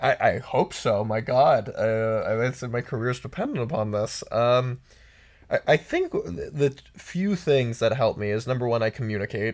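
A man speaks at medium pitch with ordinary pitch variation and a moderate pace. It is a plain, everyday voice. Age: 30s. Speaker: sex columnist and author. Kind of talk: casual chat.

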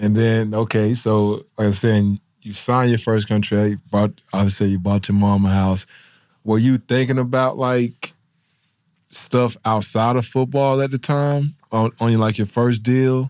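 With an ordinary speaking voice, a man of medium pitch speaks at a fairly slow pace with fairly even intonation in a very clean recording against a silent background. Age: 30s. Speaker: former pro football player, podcast co-host. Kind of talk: casual interview.

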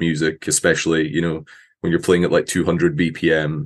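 In a Scottish accent, a man with a very deep, low voice speaks at a moderate pace in a flat monotone against a quiet background. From Scotland; Aberdeen, Scotland. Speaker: metal musician. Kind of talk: casual interview.

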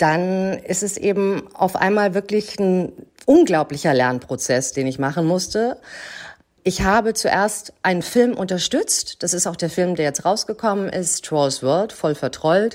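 A woman talks in an ordinary speaking voice at medium pitch. Her pace is fairly slow and her intonation lively. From Germany, Hamburg. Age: 40s. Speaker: actress and film producer. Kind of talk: interview.

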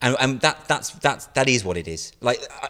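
Speech comes at a very fast pace in a British accent. The recording is very clean, with a silent background. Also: man. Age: 40s. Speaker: comedian and satirical writer. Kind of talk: interview.

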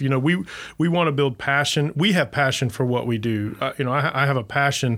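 A man speaks at a medium pitch with ordinary pitch variation, in an ordinary speaking voice. The recording is very clean, with a silent background. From US South, Florida Panhandle. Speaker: city manager. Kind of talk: casual chat.

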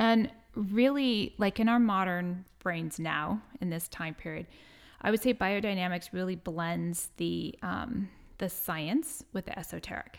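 In a very clean recording with a silent background, a woman with a plain, everyday voice and an American accent speaks at a fairly slow pace, medium pitch, and ordinary pitch variation. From San Diego, California. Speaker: farmer and herbalist. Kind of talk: interview. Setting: studio, in person.

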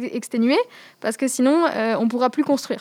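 A woman's high-pitched voice carries fairly even intonation. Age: 20s. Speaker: climate activist. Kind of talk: interview. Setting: rooftop outdoors. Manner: halting.

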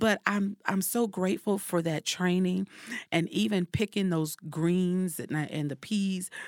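A woman speaks in an unremarkable speaking voice at medium pitch and a fairly slow pace, with fairly even intonation. The sound is dry and close with no echo, on a very clean recording with a silent background. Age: 40s. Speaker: life coach and speaker. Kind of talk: casual chat.

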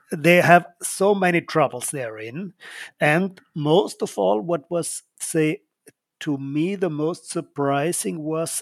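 A man with an Austrian accent speaks very slowly at a fairly high pitch with ordinary pitch variation, in a dry, close sound with no echo and a very clean recording with a silent background. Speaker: oil company co-owner. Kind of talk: casual chat.

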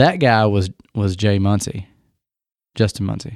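A man's fairly low voice with a dark, mellow tone and ordinary pitch variation at a moderate pace, dry and close with no echo, on a very clean recording with a silent background. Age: 30s. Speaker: drummer. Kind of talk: casual chat.

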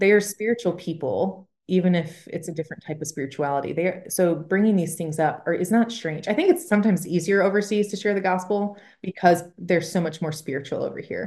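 A woman with an American accent speaks at a fairly quick pace in an ordinary speaking voice, her pitch medium with ordinary variation. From Michigan. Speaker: missionary. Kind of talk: casual chat.

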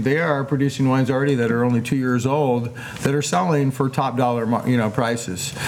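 Through noticeable background noise and audible room echo, a man speaks at a fairly quick pace with fairly even intonation. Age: 60s. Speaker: winemaker. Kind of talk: casual chat. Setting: outdoors.

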